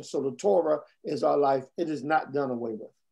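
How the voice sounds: Vocal fry marks a man's slightly mellow tone, which has ordinary pitch variation.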